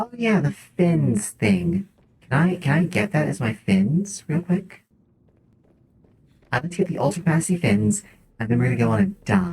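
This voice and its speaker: Long, frequent pauses interrupt speech that otherwise keeps a moderate pace. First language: not English. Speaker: vtuber streamer. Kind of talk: gaming livestream chat. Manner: casual, thinking aloud.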